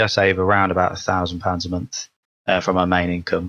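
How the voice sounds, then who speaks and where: A man's very deep, low voice with a British accent at a fairly quick pace. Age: 20s. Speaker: podcast co-host. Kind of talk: casual chat.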